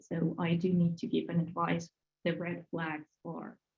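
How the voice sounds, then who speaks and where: Using a fairly low pitch with vocal fry, a woman speaks at a moderate pace in a Russian accent. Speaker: HR and recruitment professional. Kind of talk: webinar panel discussion.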